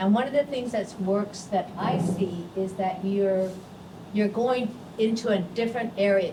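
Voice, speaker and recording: A woman speaks at a medium pitch and a fairly slow pace, with fairly even intonation. Noticeable background noise and audible room echo surround her voice. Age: 70s. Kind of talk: press conference remarks. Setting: press conference.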